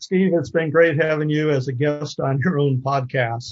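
Somewhat breathy and fairly high-pitched, a man speaks with an American accent and fairly even intonation. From US, military family, various states. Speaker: interviewer and former scuba diver. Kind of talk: interview.

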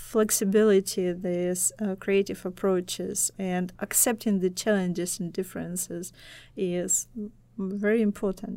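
A woman with a dark, mellow tone speaks at a fairly slow pace and medium pitch in a monotone, flat intonation, on a very clean recording with a silent background. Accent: Russian. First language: Russian. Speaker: assistant professor. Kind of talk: casual interview chat. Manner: hesitant, many filler pauses.

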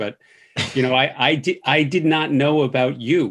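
A man talks with ordinary variation in pitch. The recording is very clean, the background silent. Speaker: infectious disease physician and professor. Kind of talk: interview, conversational. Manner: fast talker.

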